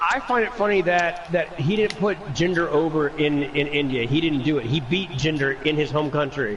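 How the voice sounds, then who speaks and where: With noticeable background noise, a man speaks in a fairly high pitch for a man at a moderate pace, his loudness very even and hardly any pauses. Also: ordinary pitch variation. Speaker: gamer doing wrestling commentary. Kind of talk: casual chat. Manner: soft-spoken.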